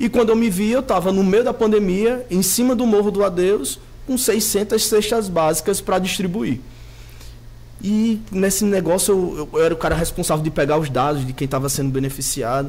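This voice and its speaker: Over noticeable background noise, a man speaks at a moderate pace with a high pitch and lively intonation. His loudness stays very even. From Natal, Rio Grande do Norte, Brazil. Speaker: city councillor. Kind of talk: studio interview. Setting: TV studio.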